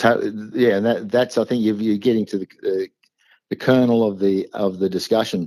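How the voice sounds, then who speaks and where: Fairly low and dark, mellow in tone, a man with an Australian accent speaks at a moderate pace with fairly even intonation. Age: 60s. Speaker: small business owner. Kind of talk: interview answer.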